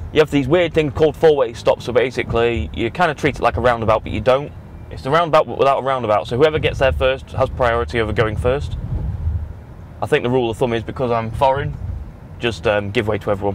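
Very fast and with lively intonation, a man's speech comes through dry with no echo over light background noise. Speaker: vlogger. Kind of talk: casual vlog chat. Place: car. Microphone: camera far.

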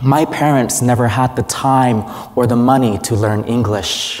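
Speaking at a fairly slow pace, a man has a medium pitch and a slightly mellow tone.

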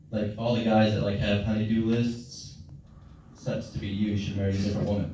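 A man's fairly low voice with fairly even intonation and audible room echo. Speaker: stand-up comedian. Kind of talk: stand-up comedy set. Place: stage. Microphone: pa.

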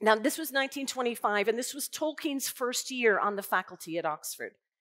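A female speaker takes a fairly slow pace, with quiet all around. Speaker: invited lecturer. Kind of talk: lecture. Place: hall. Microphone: headset.

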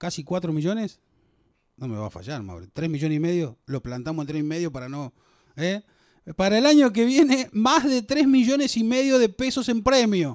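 Against a quiet background, a man with a high pitch speaks with very wide pitch swings and big shifts in loudness. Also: moderate pace. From Argentina. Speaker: raffle host. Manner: playful and chatty, joking with staff. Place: hall. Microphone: handheld.

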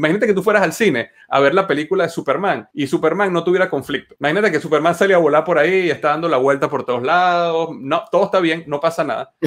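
Speaking at a very fast pace with hardly any pauses, a man uses a high pitch and ordinary pitch variation over a quiet background. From Venezuela. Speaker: entrepreneur and engineer; podcast guest. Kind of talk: interview. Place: home room. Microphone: webcam.

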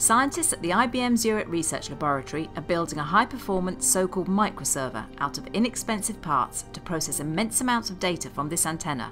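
Music plays in the background as a woman talks at a fairly quick pace. Her fairly low pitch swings very widely. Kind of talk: comedic documentary narration.

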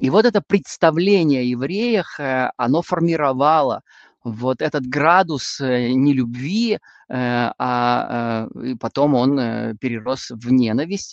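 Very slow delivery in a dry sound with no echo. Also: man, ordinary pitch variation, quiet background. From northwestern Russia. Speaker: Bible teacher. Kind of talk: lecture. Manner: hesitant with frequent filler sounds. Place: home room. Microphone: video call.

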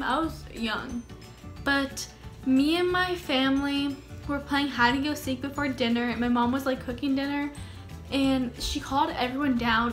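A woman's high voice at a fairly slow pace, with fairly even intonation and faint music in the background. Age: young. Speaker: YouTuber. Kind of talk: casual storytime talk to camera. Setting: home, in a hammock. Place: home room. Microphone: phone near.

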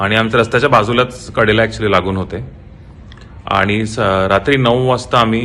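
Over noticeable background noise, a man talks at a fairly low pitch with fairly even intonation. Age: 20s. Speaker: photographer, theft victim. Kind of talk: video statement. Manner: halting.

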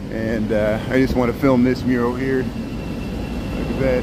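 A man is heard over loud background noise. The sound is dry, with no echo. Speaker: city walking-tour streamer. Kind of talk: casual live-stream walking commentary. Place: street. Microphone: phone near.

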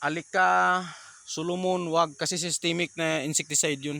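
A man with a fairly high pitch and a bright, sharp tone speaks at a moderate pace in flat, monotone intonation, recorded very cleanly against a silent background. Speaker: small vegetable farmer and vlogger. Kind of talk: casual farm vlog tutorial. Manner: halting, many fillers.

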